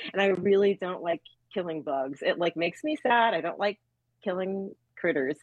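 A woman speaks in an ordinary speaking voice at a moderate pace, her medium pitch carried by lively intonation. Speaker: band member. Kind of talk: casual interview chat.

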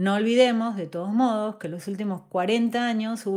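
An unremarkable speaking voice from a woman at medium pitch, moderate pace and ordinary pitch variation, on a very clean recording with a silent background. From Argentina, southern Entre Ríos. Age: 40s. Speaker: podcast host. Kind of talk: scripted narration.

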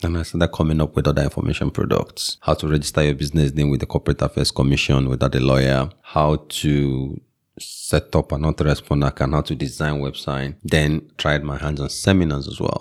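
With a Nigerian accent, the speaker talks at a fairly quick pace with hardly any pauses, in a monotone, flat intonation and a dry, close sound with no echo. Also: man, very deep, low pitch for a man. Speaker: tech entrepreneur and local chief. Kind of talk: casual interview.

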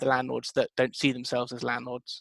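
Recorded dry and close with no echo, a man with a British accent talks at a fairly quick pace. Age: 20s. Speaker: co-founder of a tenancy deposit startup. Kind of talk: interview.

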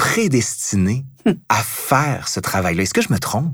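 Over a very clean recording with a silent background, a man speaks at a fairly slow pace in a medium pitch. His voice is somewhat breathy, with very wide pitch swings. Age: 40s. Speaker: historian, podcast host. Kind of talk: interview.

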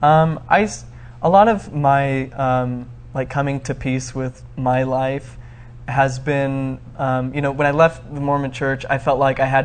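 A man speaks with an American accent at a medium pitch, in a plain, everyday voice. His intonation stays fairly even, and his pace is fairly slow. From Arizona, US. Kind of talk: interview. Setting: studio.

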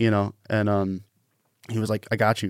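Fairly low and fairly quick, a man speaks in an American accent with monotone, flat intonation, recorded very cleanly over a silent background with a dry, close sound with no echo. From Washington State, Pacific Northwest. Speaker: radio production manager. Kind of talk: casual interview.

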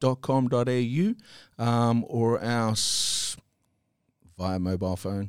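On a very clean recording with a silent background, a man talks at a very slow pace with ordinary pitch variation. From New Zealand. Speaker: small business owner, limousine service. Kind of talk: casual interview.

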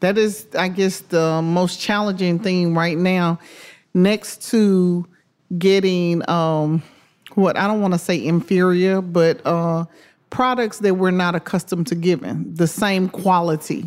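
In a Memphis accent, a woman talks at a fairly slow pace and medium pitch, with fairly even intonation and very even loudness, on a very clean recording with a silent background. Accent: Southern US (Memphis). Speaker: restaurant owner. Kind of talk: interview.

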